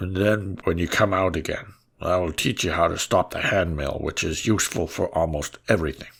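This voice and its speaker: A man's put-on character voice, raspy and very deep in pitch, fairly quick with fairly even intonation, on a very clean recording with a silent background. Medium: read story. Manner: calm, advising.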